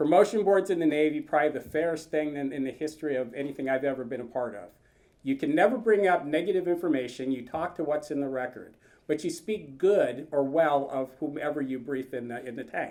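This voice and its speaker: Fairly high in pitch, a man speaks quickly with a dark, mellow tone and ordinary pitch variation. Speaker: retired naval officer and admissions field representative. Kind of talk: presentation to an audience. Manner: loud.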